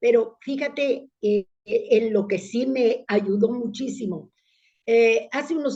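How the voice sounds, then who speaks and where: A woman's high-pitched voice at a very slow pace. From Italy, then Mexico from childhood. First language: Italian (speaking Spanish). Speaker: public speaking club leader. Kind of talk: interview.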